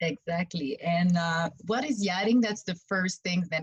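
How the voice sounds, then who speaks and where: This woman talks at a moderate pace with a medium pitch and a somewhat breathy quality, in a Quebec accent. The sound is dry and close, with no echo. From Quebec, Montreal. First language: French. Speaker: yacht stewardess and massage therapist. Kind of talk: interview.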